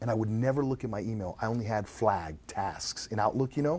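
A man's medium-pitched voice with a dark, mellow tone and lively intonation. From Latin America, Argentinian family, raised in Mexico and Venezuela. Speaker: entrepreneur. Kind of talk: casual chat. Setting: live stream.

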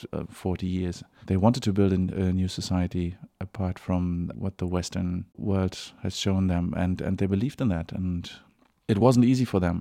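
Delivered at a moderate pace with fairly even intonation, the speech carries a German accent. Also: man, very deep, low pitch for a man. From East Berlin, Germany. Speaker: actor. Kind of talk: interview. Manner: halting, with repeated words.

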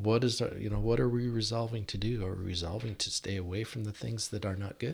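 Speaking very fast in an American accent, a man uses a fairly low, somewhat breathy voice. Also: ordinary pitch variation. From Washington State, US (Yakima). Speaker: church deacon. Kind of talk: casual chat.

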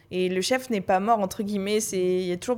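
With an ordinary speaking voice, a woman talks at a moderate pace and medium pitch, her intonation fairly even. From France, Paris. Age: 20s. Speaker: youth association director. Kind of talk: panel discussion.

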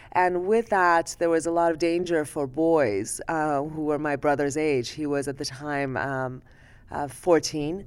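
In a Persian accent, a woman speaks at a fairly slow pace with a very deep, low pitch and ordinary pitch variation, recorded very cleanly against a silent background. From Iran. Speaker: ophthalmologist. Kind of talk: interview conversation.

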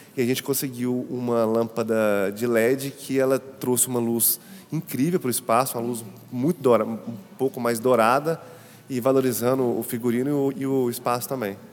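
Noticeable background noise behind a man's medium-pitched voice, moderate in pace and fairly even in intonation. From Brazil, Ouro Preto, Minas Gerais. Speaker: architect and set designer. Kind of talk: interview about an exhibition space.

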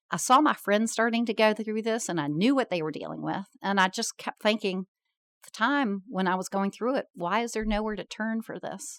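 A woman with an ordinary speaking voice, pitched fairly high, speaks at a moderate pace with ordinary pitch variation, recorded dry and close with no echo. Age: 50s. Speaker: company founder. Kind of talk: interview.

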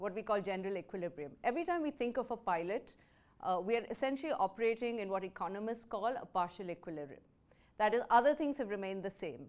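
Over a very clean recording with a silent background, a woman talks at a very fast pace and medium pitch with lively intonation. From India. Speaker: research institute director. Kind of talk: keynote speech.

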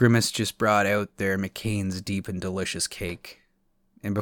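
Fairly even intonation in a natural reading voice

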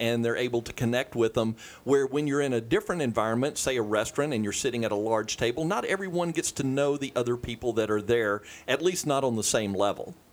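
A man speaks at a medium pitch with ordinary pitch variation and a fairly quick pace, in an unremarkable speaking voice. The recording is very clean, with a silent background. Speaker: real estate agent. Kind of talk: casual chat.

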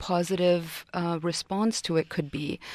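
In a very clean recording with a silent background, a woman speaks at a fairly slow pace with an Arabic accent. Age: young. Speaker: TV talk show co-host and actress. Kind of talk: interview. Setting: radio studio.

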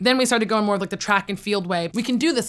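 A woman speaks with a New York accent at a fairly high pitch, with ordinary pitch variation. The recording is very clean, with a silent background. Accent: American (New York). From New York State, US (Poughkeepsie). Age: 20s. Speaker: entrepreneur and inventor. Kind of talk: interview.

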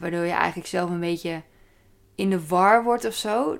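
A woman talks at a moderate pace in a fairly low voice, an unremarkable speaking voice. The recording is very clean, with a silent background. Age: 30s. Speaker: podcaster. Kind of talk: casual solo monologue.

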